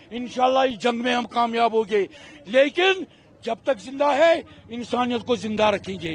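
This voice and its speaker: Noticeable background noise sits behind a man whose extremely high pitch carries an animated tone and lively intonation. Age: 60s. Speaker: protester. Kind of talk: street interview.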